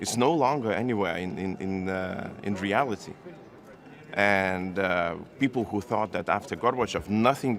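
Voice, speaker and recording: With a Lithuanian accent, a man speaks at a moderate pace with ordinary pitch variation. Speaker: foreign minister. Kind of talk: press conference statement and answers. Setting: press room.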